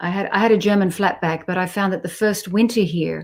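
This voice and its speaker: Medium-pitched female voice with an Australian accent on a very clean recording with a silent background. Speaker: jazz bassist. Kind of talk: interview conversation.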